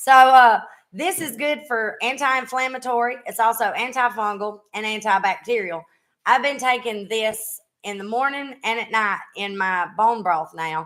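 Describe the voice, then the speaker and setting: In a very clean recording with a silent background, a woman with a strong Southern US accent speaks at a fairly high pitch. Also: ordinary pitch variation, moderate pace. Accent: thick Southern US. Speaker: podcast host, former singer. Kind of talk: casual chat. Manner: casual, halting.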